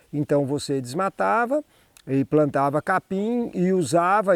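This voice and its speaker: A man speaks at a very slow pace. The recording is very clean with a silent background and a dry, close sound with no echo. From Brazil. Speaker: cattle rancher. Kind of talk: interview.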